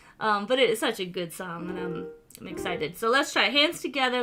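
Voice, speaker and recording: A woman's voice with music in the background. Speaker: piano teacher. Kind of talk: tutorial. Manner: fast.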